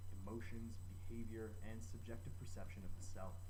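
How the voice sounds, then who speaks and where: A man talks at a very fast pace in a very deep, low voice, with fairly even intonation over noticeable background noise. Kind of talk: educational presentation to camera.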